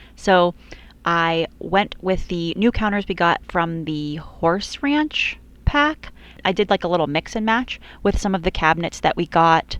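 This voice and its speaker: Her intonation lively and her pace fairly slow, a woman talks in a plain, everyday voice. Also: quiet background. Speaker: video game builder. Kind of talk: voiceover commentary. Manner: casual.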